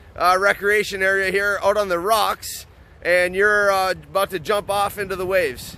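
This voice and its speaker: A man's raised, projected voice, high and bright with a sharp tone, flat and monotone, at a moderate pace. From US Midwest (Upper Peninsula, Michigan). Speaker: podcast host. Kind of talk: casual interview. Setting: outdoors.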